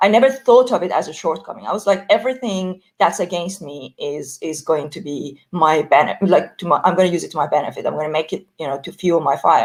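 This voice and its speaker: A woman talks at a very fast pace with a non-native accent. Her intonation is lively, and her loudness swings widely. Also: fairly low pitch for a woman. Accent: foreign. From Iran. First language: Persian. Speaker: entrepreneur. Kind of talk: panel discussion. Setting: audio chat room. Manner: hesitant, many fillers.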